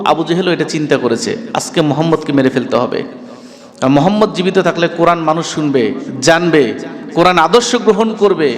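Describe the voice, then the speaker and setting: Background noise is noticeable as a man speaks with lively intonation. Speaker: Islamic scholar preacher. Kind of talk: Bangla waz mahfil sermon. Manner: emotional, rhetorical, passionate.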